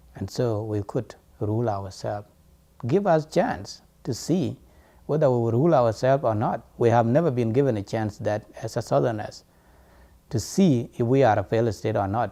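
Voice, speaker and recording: A man with a non-native accent speaks at a moderate pace in a medium-pitched voice with a dark, mellow tone and ordinary pitch variation. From South Sudan. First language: not English. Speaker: student and diaspora activist. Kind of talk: interview testimony.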